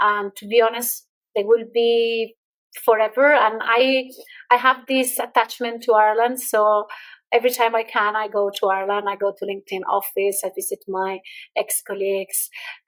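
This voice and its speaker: A woman speaks with a slight Irish accent at a moderate pace. Her fairly high pitch follows a fairly even intonation. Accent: slight Irish-tinged English. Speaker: entrepreneur and LinkedIn expert. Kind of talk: podcast interview.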